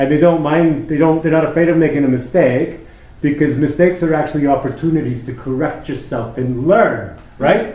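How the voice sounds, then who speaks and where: At a fairly quick pace, a man with a fairly high pitch speaks amid audible room echo and noticeable background noise. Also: ordinary pitch variation. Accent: Canadian. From Canada, Toronto. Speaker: hairdresser. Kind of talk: casual chat.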